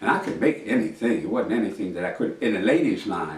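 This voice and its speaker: Noticeable background noise and audible room echo around a man speaking. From New York City, Harlem. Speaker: master tailor and storyteller. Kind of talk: autobiographical storytelling. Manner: conversational, reflective.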